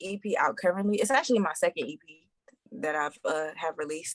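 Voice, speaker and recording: With an American accent, a woman speaks in an unremarkable speaking voice at medium pitch, using lively intonation at a fairly quick pace, recorded dry and close with no echo. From New York. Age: 20s. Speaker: R&B singer. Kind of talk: podcast interview.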